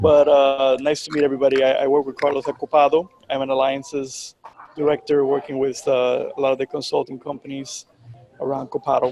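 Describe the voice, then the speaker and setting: A man with a Spanish accent speaks at a fairly quick pace in a fairly high pitch. His intonation is monotone and flat, and there is noticeable background noise. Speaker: business alliances director. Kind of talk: casual introduction. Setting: video call.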